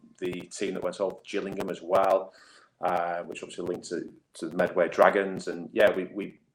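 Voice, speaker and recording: A man with a northern English accent at a fairly quick pace. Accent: northern English, noticeable. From northwest England. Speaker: rugby league head coach. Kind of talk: interview. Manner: hesitant, many fillers and repeats.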